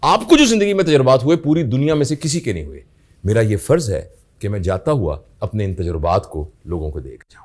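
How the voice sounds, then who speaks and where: A man with a medium-pitched voice and vocal fry speaks at a moderate pace, making very wide pitch swings and big swings in loudness. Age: 60s. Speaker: professor. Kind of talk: interview.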